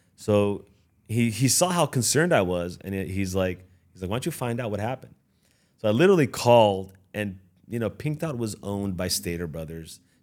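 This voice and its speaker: A man with a Californian accent speaks at a fairly quick pace in a fairly low voice, recorded very cleanly against a silent background. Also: lively intonation. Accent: Californian American. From Los Angeles. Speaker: business owner. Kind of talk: interview. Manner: halting.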